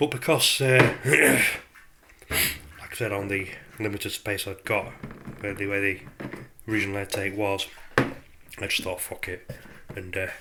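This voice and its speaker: Noticeable background noise runs under the recording. A man speaks at a moderate pace with a fairly low voice. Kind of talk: casual DIY tutorial to camera. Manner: hesitant, casual.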